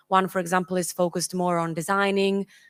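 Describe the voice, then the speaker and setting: With an Italian accent, a woman at a medium pitch talks at a fairly quick pace over a silent background in a very clean recording. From Italy. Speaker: engineering consultant. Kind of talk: conference presentation. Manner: halting.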